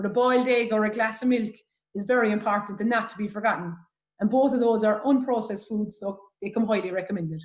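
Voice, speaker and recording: Very fast, somewhat breathy delivery with big swings in loudness. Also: woman, fairly high pitch for a woman, fairly even intonation. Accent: Irish. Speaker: health talk speaker. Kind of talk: presentation. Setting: webinar.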